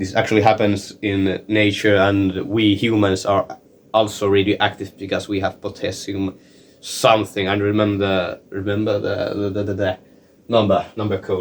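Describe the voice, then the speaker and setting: A man's fairly low, monotone voice with flat intonation. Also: moderate pace. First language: not English. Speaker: science explainer video maker. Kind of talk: informal tutorial. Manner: halting, many fillers and repetitions.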